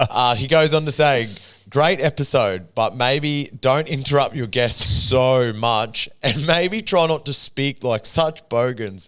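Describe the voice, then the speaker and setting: Music plays in the background. A man talks at a very slow pace, with a medium pitch and ordinary pitch variation. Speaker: podcast host. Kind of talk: casual chat.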